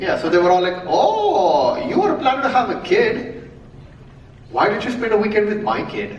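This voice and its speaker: At a moderate pace, a high-pitched man speaks in an animated tone with lively intonation, with noticeable background noise and audible room echo. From India, Mumbai. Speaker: comedian. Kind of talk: stand-up. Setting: stage with audience.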